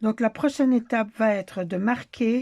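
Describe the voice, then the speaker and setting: A dark, mellow tone moves at a very slow pace with ordinary pitch variation. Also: woman. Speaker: crochet tutorial creator. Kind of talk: tutorial. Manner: halting, with filler hesitations.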